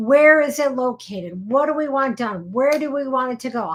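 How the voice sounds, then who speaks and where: A woman speaks with an American accent at a moderate pace. Her pitch is high. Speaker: attorney. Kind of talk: live show explainer. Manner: casual, conversational.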